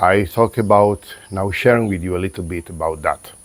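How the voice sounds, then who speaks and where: In a calm tone, a man talks at a very deep, low pitch with ordinary pitch variation. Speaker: spiritual coach and vlogger. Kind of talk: reflective monologue. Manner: halting, calm.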